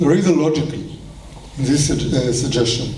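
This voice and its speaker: In a room with audible echo and noticeable background noise, a man talks. He has an Israeli accent and ordinary pitch variation. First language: Hebrew. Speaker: kibbutz movement leader. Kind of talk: speech at celebration.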